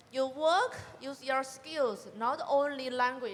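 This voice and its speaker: This woman speaks with a Chinese accent at a high pitch. Her pace is very slow. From China. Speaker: college graduate panelist. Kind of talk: panel discussion. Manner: halting.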